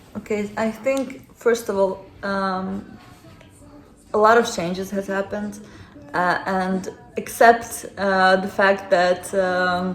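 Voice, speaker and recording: With a Ukrainian accent, a woman speaks at a medium pitch and a very slow pace. She leaves long, frequent pauses. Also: fairly even intonation. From Ukraine. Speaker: interviewee, former refugee. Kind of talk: interview. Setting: friend's home.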